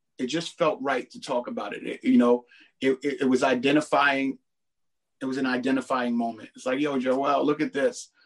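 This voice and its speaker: A man with an American accent uses a plain, everyday voice at medium pitch, with fairly even intonation and a moderate pace. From Brooklyn, New York. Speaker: rapper. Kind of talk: interview. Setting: studio. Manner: casual.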